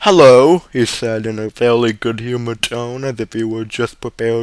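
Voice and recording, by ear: A text read aloud in a natural voice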